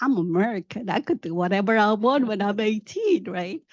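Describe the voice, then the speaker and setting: A woman's medium-pitched voice, dry and close with no echo, against a quiet background. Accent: non-native. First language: not English. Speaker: tech professional, panel speaker. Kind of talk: career talk, personal story. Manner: halting, with fillers.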